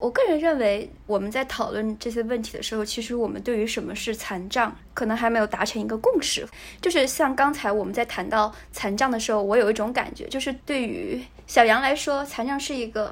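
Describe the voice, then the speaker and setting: A woman with a fairly high pitch and a normal speaking voice talks at a fairly quick pace, her pitch varying in an ordinary way. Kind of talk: casual chat.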